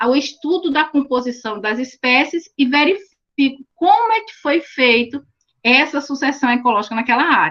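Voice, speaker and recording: A high-pitched woman at a moderate pace with lively intonation. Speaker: teacher. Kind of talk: online lecture.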